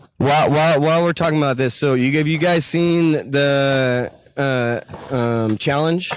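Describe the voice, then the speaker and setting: With very even loudness and fairly even intonation, a man talks at a moderate pace and a fairly high pitch over noticeable background noise. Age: 30s. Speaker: street interviewer. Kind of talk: street interview. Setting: outdoors at a skatepark. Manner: halting.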